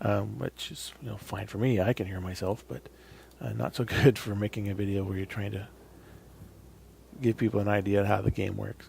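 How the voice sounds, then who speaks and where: Quiet and somewhat breathy, a man speaks at a fairly quick pace in a fairly low pitch with a dark, mellow tone and ordinary pitch variation. His loudness swings widely, and he takes long, frequent pauses. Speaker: gaming video creator. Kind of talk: gameplay commentary. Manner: casual, halting with fillers; tends to get quieter while playing.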